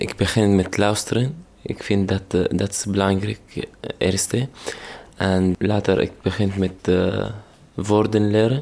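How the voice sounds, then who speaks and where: A man speaks with an Arabic accent. His pace is very slow. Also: fairly low pitch for a man, ordinary pitch variation. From Syria. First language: Arabic (speaking Dutch). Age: 20s. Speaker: refugee, music graduate. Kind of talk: interview testimony. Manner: halting.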